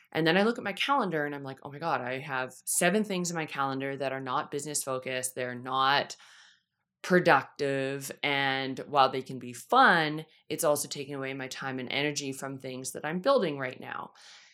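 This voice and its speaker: A woman's very deep, low voice, bright and sharp in tone, with ordinary pitch variation, big swings in loudness and a moderate pace, on a very clean recording with a silent background. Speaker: podcast host, financial coach. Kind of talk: solo podcast talk. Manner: casual, chatty.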